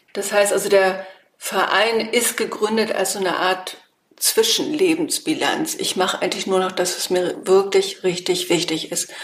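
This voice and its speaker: A woman's unremarkable speaking voice with lively intonation. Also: medium pitch for a woman, moderate pace. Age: 50s. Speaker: political scientist and association founder. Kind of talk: interview.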